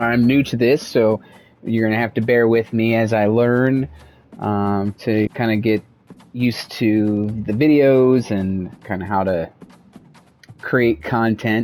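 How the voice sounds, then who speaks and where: The speaker talks very slowly in an American accent, with ordinary pitch variation. Music plays in the background. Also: man. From US Midwest, Iowa. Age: 30s. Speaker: video game content creator. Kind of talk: gameplay commentary. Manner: halting, many fillers.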